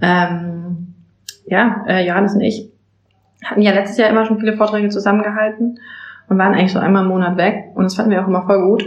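A woman's medium-pitched, monotone, flat voice at a very fast pace, with very even loudness and long, frequent pauses. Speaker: Amazon seller consultant. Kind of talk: casual chat.

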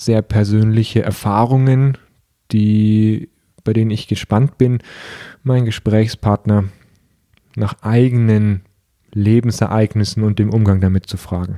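A man speaks at a very slow pace with long, frequent pauses, his fairly low, dark and mellow voice sounding dry and close with no echo on a very clean recording against a silent background. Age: 30s. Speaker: podcast host and coach. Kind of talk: solo podcast introduction monologue.

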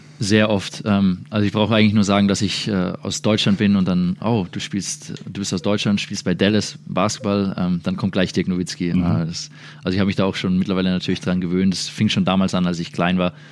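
A man's normal speaking voice at fairly low pitch, with hardly any pauses. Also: ordinary pitch variation, fairly quick pace. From Würzburg, Germany. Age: 20s. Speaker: professional basketball player. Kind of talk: interview.

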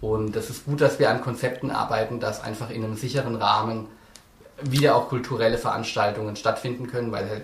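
A man's monotone, flat delivery amid audible room echo and noticeable background noise. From Lower Franconia, Germany (Lohr am Main). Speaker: author. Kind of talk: interview.

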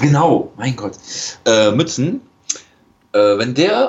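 A man talks with lively intonation. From western Germany (Rhineland). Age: 20s. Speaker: podcast guest. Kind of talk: casual chat.

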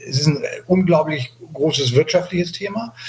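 A man speaks over noticeable background noise. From Hamburg, northern Germany. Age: 60s. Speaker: sea rescue activist. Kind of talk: interview. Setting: remote call. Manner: halting, many fillers.

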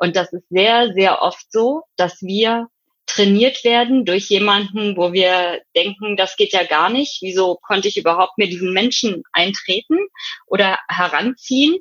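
With an unremarkable speaking voice, a woman talks at a fairly slow pace and a medium pitch with ordinary pitch variation, the sound dry and close with no echo. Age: 50s. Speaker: psychotherapeutic practitioner and hypnotherapist. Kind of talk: interview.

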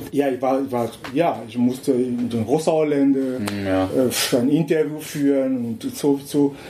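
Over noticeable background noise, a man speaks very slowly at a medium pitch with fairly even intonation. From Cameroon. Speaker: journalist. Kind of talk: casual chat. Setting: indoors at a venue. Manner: halting.

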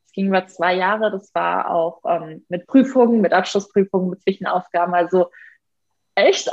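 In a normal speaking voice, a woman talks at a moderate pace with lively intonation. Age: 20s. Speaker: animal welfare activist and primatologist. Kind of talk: podcast interview.

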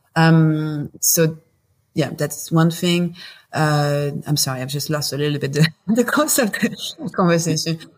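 A woman's very deep, low, somewhat breathy voice in a French accent, at a very slow pace with ordinary pitch variation. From southern France, Marseille. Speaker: company founder and CEO. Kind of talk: interview conversation. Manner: halting, many fillers.

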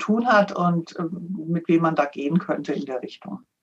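This woman has an ordinary speaking voice with a fairly low pitch. She moves at a moderate pace. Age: 60s. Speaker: financial adviser and author. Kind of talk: interview.

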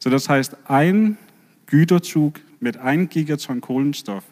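Speaking with a Danish accent is a man. He talks at a very slow pace. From Denmark. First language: Danish (speaking German). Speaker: marine biologist, professor. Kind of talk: lecture talk with slides.

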